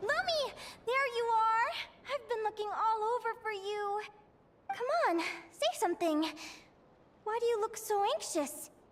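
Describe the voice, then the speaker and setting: Someone uses a put-on character voice at a moderate pace. Long pauses come often. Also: female-sounding voice, extremely high pitch for a woman. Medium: video game. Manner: energetic, expressive.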